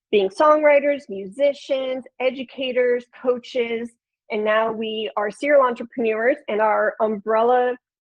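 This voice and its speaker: A woman with a Chicago accent speaks at a fairly slow pace in a high pitch, her intonation fairly even. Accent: Chicago accent, nasal vowels. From Chicago, Illinois. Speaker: podcast producer and flutist. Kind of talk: webinar presentation.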